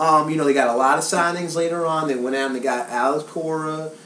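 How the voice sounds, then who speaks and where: A man with a Southern US accent talks at a fairly quick pace in a fairly high pitch, with noticeable background noise behind him. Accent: southern American. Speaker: sports reporter and host. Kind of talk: sports commentary talk show.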